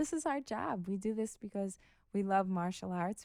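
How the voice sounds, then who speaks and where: A soft-spoken woman talks at a moderate pace with an American accent. Her voice sits at medium pitch, dark and mellow in tone. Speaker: professional boxer. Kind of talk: podcast interview.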